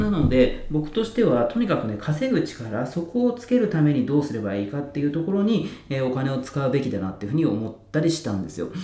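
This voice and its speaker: Amid noticeable background noise and audible room echo, a man talks very fast at a fairly high pitch with very wide pitch swings. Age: 30s. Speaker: online community runner and YouTuber. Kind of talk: solo podcast talk. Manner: casual with many fillers.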